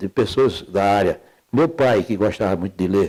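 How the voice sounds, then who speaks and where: A man's dark, mellow tone comes through at a fairly slow pace. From Alagoas, Brazil. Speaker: judge, lawyer, poet. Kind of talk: interview answer.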